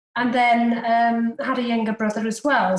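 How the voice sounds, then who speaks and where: A high-pitched woman with a Welsh accent at a fairly slow pace. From Wales, Cardiff. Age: 40s. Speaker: private investor. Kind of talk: podcast interview.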